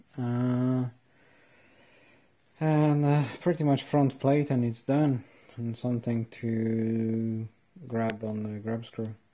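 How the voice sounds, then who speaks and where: Mumbling at a very slow pace, a man with a medium-pitched voice keeps his intonation fairly even and leaves long, frequent pauses. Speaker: DIY maker. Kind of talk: workshop tutorial. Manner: mumbling, hesitant.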